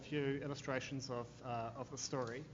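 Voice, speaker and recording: A man speaks with a New Zealand accent and monotone, flat intonation. Audible room echo and noticeable background noise surround his voice. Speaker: corporate affairs manager, panelist. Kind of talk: conference panel talk. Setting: law school conference with audience.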